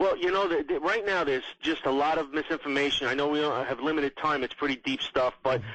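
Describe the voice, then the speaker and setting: A man's fairly high voice with a New York accent. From New York, Queens. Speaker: political blogger and podcaster. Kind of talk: radio interview.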